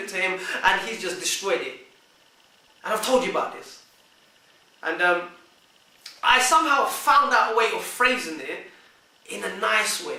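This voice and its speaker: Raised and projected, a man's extremely high-pitched voice carries lively intonation and long, frequent pauses, with audible room echo and noticeable background noise. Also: big swings in loudness. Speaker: vlogger giving relationship advice. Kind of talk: monologue to camera.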